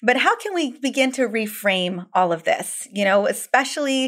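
A woman with a plain, everyday voice speaks at a moderate pace, her intonation lively. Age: 40s. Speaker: podcast host and doctor. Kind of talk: interview.

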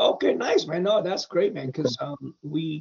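This is a man with a fairly high pitch. His pitch varies in an ordinary way. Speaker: actor and filmmaker. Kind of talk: casual interview. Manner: animated, rambling.

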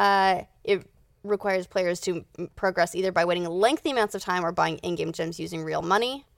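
At a fairly quick pace, a woman with an unremarkable speaking voice and a medium pitch speaks with ordinary pitch variation in a very clean recording with a silent background. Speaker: podcast host.

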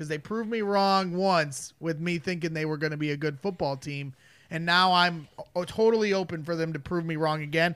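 With a Chicago accent, a high-pitched man talks at a fairly quick pace using fairly even intonation. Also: very clean recording, silent background. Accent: Chicago-area Midwestern. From northwest Indiana, Crown Point. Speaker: sports podcast producer. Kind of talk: casual sports talk.

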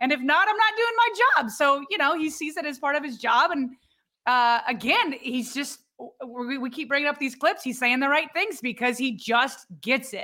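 A woman's high voice is raised and projected. Her intonation is lively. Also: moderate pace. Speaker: sports podcast co-host. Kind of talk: casual chat.

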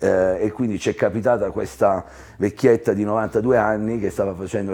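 This man has a fairly low pitch and a dark, mellow tone. He keeps a moderate pace and fairly even intonation. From Apulia, southern Italy (Ostuni). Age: 50s. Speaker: tourism entrepreneur. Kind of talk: interview. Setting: hotel lounge with live audience.

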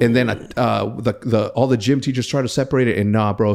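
A man with a Spanish accent talks at a fairly quick pace, his medium-pitched voice showing ordinary pitch variation. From Mexico. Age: 30s. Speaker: podcast host. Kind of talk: casual chat. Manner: animated, frequent word repetitions.

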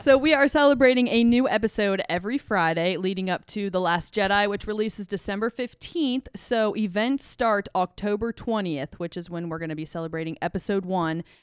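An unremarkable speaking voice in an American accent, fairly quick, with hardly any pauses and lively intonation. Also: woman, medium pitch for a woman. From Ohio. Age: 20s. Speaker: brewery merchandise director, podcast host. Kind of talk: casual chat with event promotion. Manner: upbeat.

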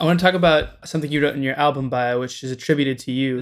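Talking at a very fast pace, a man with a fairly high pitch is heard on a very clean recording with a silent background. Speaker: music journalist. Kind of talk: interview.

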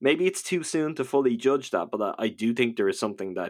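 A man's lively intonation in a Dublin accent, on a very clean recording with a silent background. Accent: Dublin Irish. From Dublin, Ireland.

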